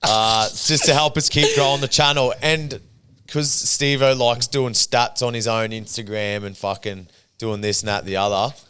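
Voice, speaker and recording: Over background music, this man's voice sits at a medium pitch. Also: ordinary pitch variation, moderate pace. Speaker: podcast host. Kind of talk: casual chat.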